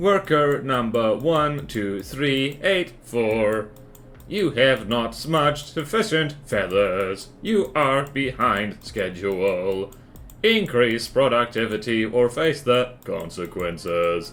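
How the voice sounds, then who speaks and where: Someone puts on a character voice at a low-to-middle pitch and a very slow pace. Background noise is clearly audible. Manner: cold, robotic, threatening.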